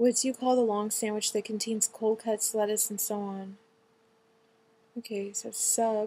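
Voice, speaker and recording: In an American accent, the speaker has a dark, mellow tone and monotone, flat intonation, moving at a moderate pace with long, frequent pauses. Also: woman, fairly high pitch for a woman. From California. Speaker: vlogger. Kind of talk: reading aloud quiz questions with casual comments; casual commentary. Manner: casual, hesitant with ums.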